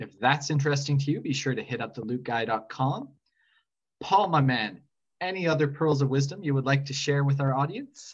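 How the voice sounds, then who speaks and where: A somewhat breathy man's voice, fairly high in pitch, with ordinary pitch variation and a fairly quick pace. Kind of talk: interview host.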